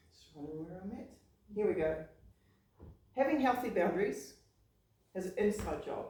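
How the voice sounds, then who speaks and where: Amid audible room echo, a somewhat breathy woman at medium pitch speaks at a fairly quick pace broken by long, frequent pauses. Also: big swings in loudness. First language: not English. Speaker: public speaking club member. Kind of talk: prepared speech.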